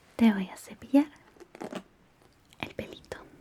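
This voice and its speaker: Whispering and soft-spoken, a woman talks at a very slow pace over noticeable background noise. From Chile. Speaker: ASMR creator. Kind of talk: ASMR personal attention roleplay. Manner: whispered, soft-spoken.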